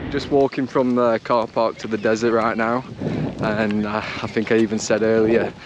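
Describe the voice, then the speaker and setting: A man with an English accent speaks at a moderate pace in a medium-pitched, flat monotone, with noticeable background noise behind him. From England. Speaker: travel vlogger. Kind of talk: travel vlog narration. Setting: in a car, then outdoors in a desert. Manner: casual, lots of fillers.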